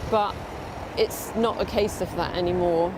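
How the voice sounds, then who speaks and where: A woman with a medium-pitched voice talks in a fairly even tone over noticeable background noise. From England, Brighton. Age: 60. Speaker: community campaigner. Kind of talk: documentary interview.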